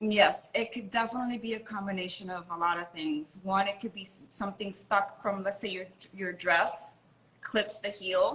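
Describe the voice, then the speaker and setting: In an American accent, a woman at medium pitch speaks at a moderate pace with fairly even intonation. She has a plain, everyday voice, and her loudness swings widely. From Miami, Florida. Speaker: model and designer. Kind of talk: casual interview.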